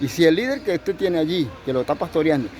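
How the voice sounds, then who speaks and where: Very fast speech over noticeable background noise. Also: man. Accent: Venezuelan. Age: 70s. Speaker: pastor. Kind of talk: sermon.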